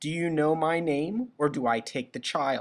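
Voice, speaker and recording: On a very clean recording with a silent background, a man does a put-on character voice at a fairly high pitch and a moderate pace. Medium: read story. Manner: sly, mischievous.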